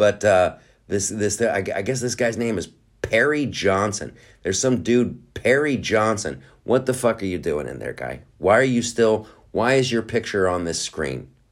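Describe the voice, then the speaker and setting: Over a very clean recording with a silent background, a man with a fairly low pitch and vocal fry sounds animated, his intonation lively. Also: moderate pace. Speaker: podcast host. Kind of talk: casual rant-style podcast monologue. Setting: home studio with noise outside. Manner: animated, profane, rambling with filler words.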